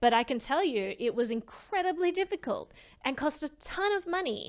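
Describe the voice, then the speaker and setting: In an Australian accent, a woman speaks at a moderate pace, her high pitch swinging very widely. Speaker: privacy advocate. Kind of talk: interview conversation.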